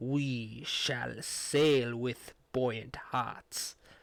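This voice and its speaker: The speaker uses a put-on character voice delivered in a flat monotone. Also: man, medium pitch for a man. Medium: read story. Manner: calm, composed, formal.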